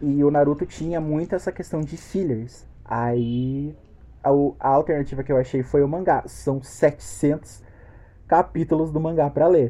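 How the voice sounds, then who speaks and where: Man with a normal speaking voice, fairly high pitch, fairly even intonation and a fairly slow pace. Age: 20s. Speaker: podcast host. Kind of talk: casual chat.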